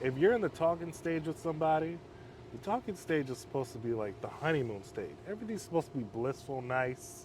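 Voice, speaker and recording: A man talks at a very fast pace in a fairly high pitch, with very wide pitch swings. His voice is somewhat breathy. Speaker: men's halfway home counselor. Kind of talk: casual chat.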